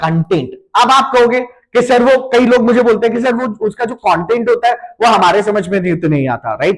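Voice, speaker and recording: A man at a moderate pace. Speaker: digital marketing trainer. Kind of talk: online class tutorial.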